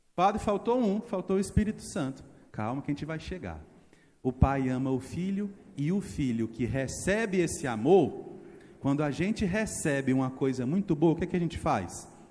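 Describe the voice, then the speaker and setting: A man's dark, mellow voice, fairly high in pitch, with very wide pitch swings at a moderate pace. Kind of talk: sermon. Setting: church. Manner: animated.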